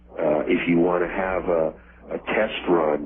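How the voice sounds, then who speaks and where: Against noticeable background noise, a man speaks fairly slowly in a very deep, low voice. His intonation stays fairly even. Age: 60s. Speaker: mythology author interviewed as guest. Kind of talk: interview. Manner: halting, with repeated words.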